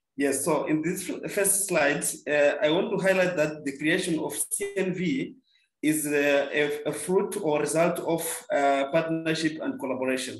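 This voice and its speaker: Room echo is audible around a man speaking at a fairly high pitch, with music playing behind him. He keeps a moderate pace and ordinary pitch variation. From Mozambique. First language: Portuguese. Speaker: volunteering organization leader. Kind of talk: webinar presentation. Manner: halting, with fillers.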